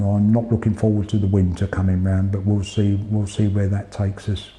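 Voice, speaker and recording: Over noticeable background noise, a man with an English accent talks at a fairly quick pace in a fairly low pitch, his intonation monotone and flat and his loudness very even. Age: 60s. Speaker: retired police officer and cancer patient. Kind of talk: interview testimony. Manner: halting, with hesitations and repeats.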